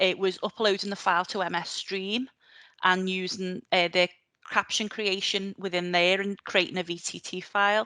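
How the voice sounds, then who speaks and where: Against a quiet background, a woman with a Liverpool accent speaks at a medium pitch and moderate pace, her tone bright and sharp, her intonation flat and monotone. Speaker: librarian. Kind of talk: conference presentation. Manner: hesitant, many fillers.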